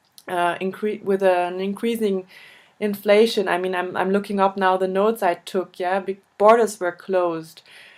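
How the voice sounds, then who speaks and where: Monotone, flat female speech in a German accent. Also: medium pitch for a woman, moderate pace. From Germany. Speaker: interviewer, volunteer association board member. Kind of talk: interview. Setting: video call. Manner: halting, hesitant.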